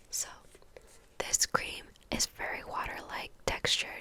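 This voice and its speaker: A woman whispers with long, frequent pauses and big swings in loudness. Noticeable background noise sits behind her. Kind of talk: ASMR skincare routine. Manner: whispered; soft-spoken.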